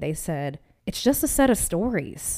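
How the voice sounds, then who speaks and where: This woman has an American accent and an upbeat, animated tone. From Massachusetts, US. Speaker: content creator and podcast host. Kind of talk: casual solo podcast monologue.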